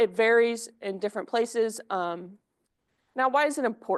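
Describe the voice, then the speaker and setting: Loud and high-pitched, a woman speaks at a moderate pace with ordinary pitch variation. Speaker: graduate student researcher. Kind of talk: research presentation. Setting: seminar room with online audience.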